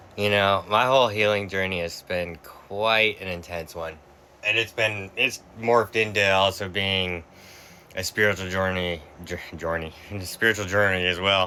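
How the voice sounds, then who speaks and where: Bright and sharp in tone, this voice with an American accent moves at a moderate pace with fairly even intonation. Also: man, fairly low pitch for a man. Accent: Boston accent comes out sometimes. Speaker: vlogger. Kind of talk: personal reflection monologue. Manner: halting.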